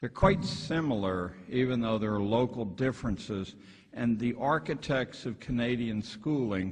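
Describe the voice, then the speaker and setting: Using lively intonation, a somewhat breathy man with an American accent talks at a moderate pace. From western Pennsylvania, around Pittsburgh. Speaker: retired schoolteacher and education critic. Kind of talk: lecture read from a script. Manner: halting, with fillers and repeats.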